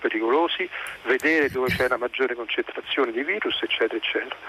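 A man speaks in a dry, close sound with no echo, with noticeable background noise behind him. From Lazio. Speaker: caller, scientist. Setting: phone call.

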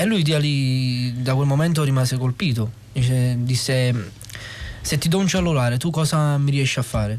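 A man speaks at very even loudness, with audible room echo and noticeable background noise. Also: medium pitch for a man, ordinary pitch variation, moderate pace. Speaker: non-professional film actor. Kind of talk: interview storytelling. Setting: radio studio. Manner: halting.

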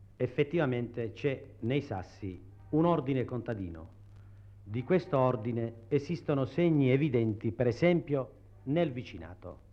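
Music in the background behind a man's medium-pitched voice, lively in intonation, at a fairly slow pace. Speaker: researcher of the Matera study commission. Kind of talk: explanatory interview statement. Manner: halting, explanatory, with hesitations.

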